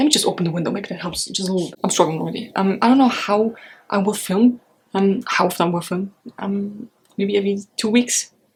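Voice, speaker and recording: Speaking with a German accent, a woman moves at a fairly quick pace with ordinary pitch variation. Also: medium pitch for a woman. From Europe. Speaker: book vlogger. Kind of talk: casual vlog.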